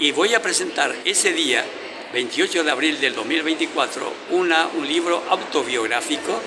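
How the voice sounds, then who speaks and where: With audible room echo and noticeable background noise, a man talks at a high pitch and a fairly slow pace, with ordinary pitch variation. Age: 70s. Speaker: writer and journalist. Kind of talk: interview. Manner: halting, many fillers.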